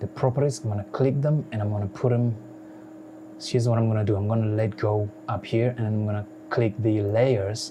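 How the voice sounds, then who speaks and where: A man's fairly low voice with fairly even intonation over noticeable background noise. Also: fairly quick pace. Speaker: software tutorial youtuber. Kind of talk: tutorial. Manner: casual, repetitive with many fillers; unedited, conversational.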